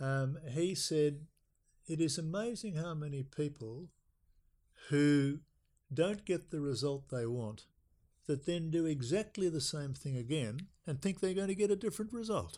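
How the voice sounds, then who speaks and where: With an Australian accent, a man speaks at a fairly slow pace in a dark, mellow tone, his fairly high pitch carrying lively intonation on a very clean recording with a silent background. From South Australia. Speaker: retired accountant. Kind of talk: casual chat.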